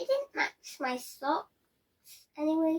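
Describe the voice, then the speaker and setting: In a put-on character voice, a woman talks very slowly at an extremely high pitch. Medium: read story. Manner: cheerful, generous.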